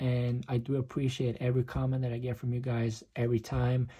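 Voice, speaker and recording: A somewhat breathy voice with a dark, mellow tone moves at a fairly quick pace on a very clean recording with a silent background. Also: man. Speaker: magic tutorial youtuber. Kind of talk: tutorial. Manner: casual, friendly.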